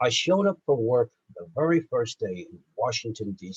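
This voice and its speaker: A somewhat breathy man with an American accent, recorded dry and close with no echo. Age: 70s. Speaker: lawyer and government affairs panelist. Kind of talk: conference panel talk.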